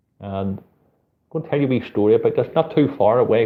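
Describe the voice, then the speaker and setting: Speaking with a Belfast accent, a man talks at a fairly quick pace and a medium pitch. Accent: Belfast accent, sometimes taken for Liverpool. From Northern Ireland, Belfast. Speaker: street photographer and channel host. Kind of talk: live stream chat reading viewer comments. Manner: casual, chatty.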